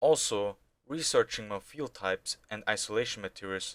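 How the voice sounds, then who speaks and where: The speaker has a non-native accent and lively intonation at a moderate pace. The recording is very clean, with a silent background. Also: man. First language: not English. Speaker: amateur rocket hobbyist. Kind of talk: video narration.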